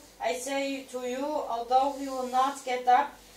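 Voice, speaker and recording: Amid audible room echo, a woman speaks at a high pitch in a monotone, flat intonation. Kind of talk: scripture reading. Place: home room. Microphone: camera far.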